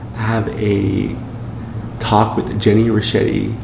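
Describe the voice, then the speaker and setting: Whispering over noticeable background noise, a man is heard with audible room echo. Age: 20s. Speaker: vlogger and clothing brand owner. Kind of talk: casual vlog. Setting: at home. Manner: casual, upbeat.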